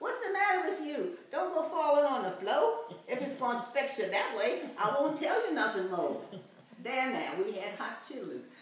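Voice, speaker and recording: Through noticeable background noise, a woman's high pitch moves in very wide swings. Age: 80s+. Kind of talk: poetry reading.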